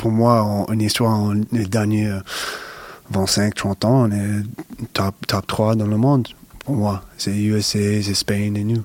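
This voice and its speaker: Low-ish in pitch, a man speaks very slowly and with monotone, flat intonation. He pauses long and often. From US Northeast, Connecticut. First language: English (speaking French). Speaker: professional basketball player. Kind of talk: interview. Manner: halting, many repetitions and hesitations.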